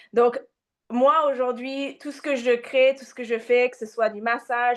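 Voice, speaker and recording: A woman speaks at a moderate pace with a slight non-native accent against a quiet background. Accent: slight foreign accent in French. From Japan and Australia, mixed. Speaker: massage therapist and women's coach. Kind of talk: interview. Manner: hesitant, many fillers.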